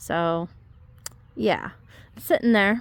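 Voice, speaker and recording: A woman talks at a moderate pace in a medium pitch. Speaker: home gardener vlogger. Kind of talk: casual walk-through garden tour. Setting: outdoors in yard. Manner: casual, filler-heavy; quieter, lowered voice.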